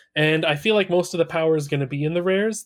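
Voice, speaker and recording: Speaking in an unremarkable speaking voice, this man keeps a fairly high pitch that rises and falls in an ordinary way. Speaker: podcast co-host. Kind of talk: casual podcast discussion.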